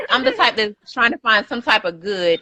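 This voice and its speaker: Someone speaks fairly quickly with lively intonation and a bright, sharp tone, in a dry, close sound with no echo. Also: woman. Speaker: podcast host reading live comments. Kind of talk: casual chat. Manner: fast.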